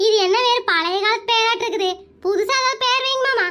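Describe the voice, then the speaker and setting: A cartoonish, squeaky, female-sounding character voice at an extremely high pitch and a moderate pace. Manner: chatty, addresses husband as mama.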